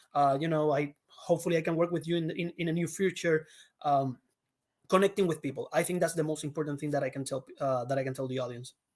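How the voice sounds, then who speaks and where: A man with a Puerto Rican accent talks at a very fast pace in a fairly high voice with fairly even intonation. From Puerto Rico. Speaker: actor. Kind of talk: interview. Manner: halting.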